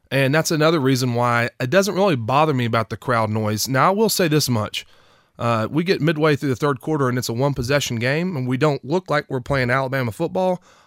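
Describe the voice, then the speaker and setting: This man has an East Tennessee accent and a medium pitch, speaking at a fairly quick pace with ordinary pitch variation. The sound is dry and close, with no echo. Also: very clean recording, silent background. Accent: East Tennessee Southern US. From East Tennessee (Knoxville). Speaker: former college football player. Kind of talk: casual interview.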